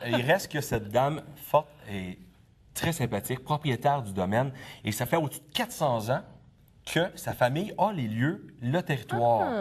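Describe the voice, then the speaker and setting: A somewhat breathy man with a Quebec accent, medium pitch and lively intonation, at a moderate pace with long, frequent pauses. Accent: Québécois French. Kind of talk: conversational, informative.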